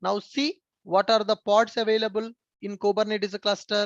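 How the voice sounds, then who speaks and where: A man's monotone, flat delivery, high for a man, with a dry, close sound and no echo. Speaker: software trainer. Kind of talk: live online class lecture. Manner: slow, repetitive explanation.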